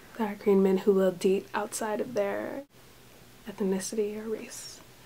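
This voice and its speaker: Quiet and at a moderate pace, a woman speaks at a medium pitch with a dark, mellow tone and monotone, flat intonation. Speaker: vlogger living abroad. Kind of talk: casual vlog talk. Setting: indoors in a room with thin walls.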